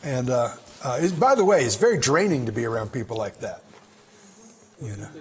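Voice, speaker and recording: A man's voice swings very widely in pitch against noticeable background noise. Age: 60s. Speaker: pastor. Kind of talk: bible study teaching. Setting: room with a group. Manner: conversational.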